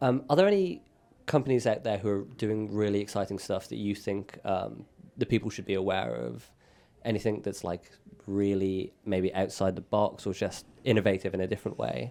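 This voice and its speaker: A dark, mellow tone with a British accent and ordinary pitch variation. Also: man, fairly low pitch for a man, moderate pace. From Britain. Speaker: podcast host. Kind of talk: casual podcast chat.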